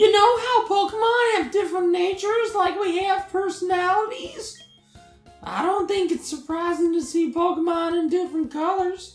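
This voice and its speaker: An extremely high-pitched voice moves at a moderate pace with faint music in the background. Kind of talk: playful read-aloud of game dialogue. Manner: cheerful, chatty.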